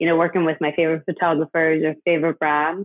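Spoken with an Irish accent, the voice keeps a monotone, flat intonation. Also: woman. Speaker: hair stylist and brand founder. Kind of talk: casual interview.

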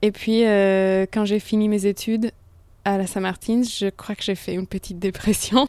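A dark, mellow woman's voice in monotone, flat intonation at a fairly slow pace, dry and close with no echo, on a very clean recording with a silent background. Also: medium pitch for a woman. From international upbringing, Italian family. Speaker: painter. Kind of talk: interview. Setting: artist studio. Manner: hesitant.

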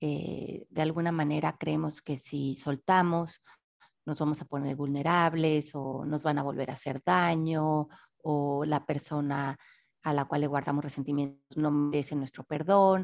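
A woman's very deep, low voice at a fairly slow pace, its intonation fairly even. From Mexico City. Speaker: author and personal development teacher. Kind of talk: interview.

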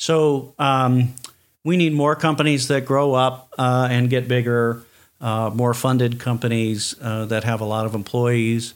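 With an American accent, a man speaks in an unremarkable speaking voice. His pace is fairly slow and his intonation fairly even. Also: medium pitch for a man. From US Midwest, Chicago. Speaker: startup consultant. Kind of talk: podcast interview.

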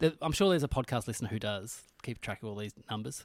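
Delivered at a fairly quick pace with an Australian accent, the voice sounds dry and close, with no echo. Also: man, very clean recording, silent background. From Tasmania, Australia. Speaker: comedian, podcast host. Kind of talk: casual chat.

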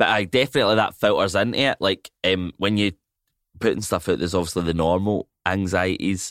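A man speaks with a Scottish accent and ordinary pitch variation. The recording is very clean and dry, with a silent background and no echo. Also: fairly low pitch for a man. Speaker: comedian and actor. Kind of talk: casual chat.

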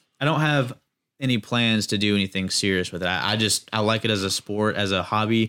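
A man with an American accent and an unremarkable speaking voice, fairly low in pitch with ordinary pitch variation, at a fairly quick pace on a very clean recording with a silent background. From US South, North Carolina. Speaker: amateur drifter. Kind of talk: casual chat.

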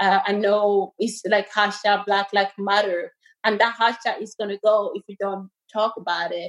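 Speaking at a fairly slow pace, a woman has a medium pitch and monotone, flat intonation. Her loudness swings widely. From Cameroon (Douala), moved to Ireland at 9. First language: French. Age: 20s. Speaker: rugby player and hospital worker. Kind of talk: interview.

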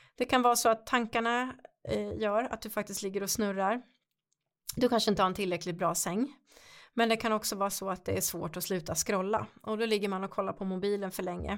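In an ordinary speaking voice, the speaker moves at a fairly quick pace with fairly even intonation, captured on a very clean recording with a silent background. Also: woman, medium pitch for a woman. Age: 50s. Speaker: podcast host and coach. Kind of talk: workshop-style podcast talk.

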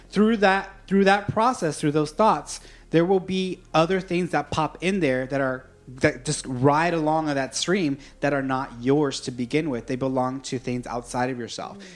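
A man's fairly high voice, a normal speaking voice with lively intonation at a moderate pace. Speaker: psychic medium. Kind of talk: casual interview chat.

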